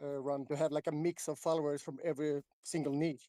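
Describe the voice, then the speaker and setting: A man speaks at a fairly quick pace with a dark, mellow tone. The sound is dry and close, with no echo. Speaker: crypto social media account owner. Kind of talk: casual chat.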